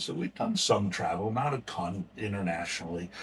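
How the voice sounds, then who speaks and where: A very deep, low-pitched man at a moderate pace with a Northeastern US accent, on a very clean recording with a silent background. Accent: American, Northeast US. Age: 60s. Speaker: nonprofit founder, recovery advocate. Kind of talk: podcast interview, personal story. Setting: museum, recorded interview.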